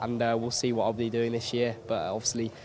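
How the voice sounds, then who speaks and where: A man speaks at a medium pitch. Noticeable noise sits in the background. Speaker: racing driver. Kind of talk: interview.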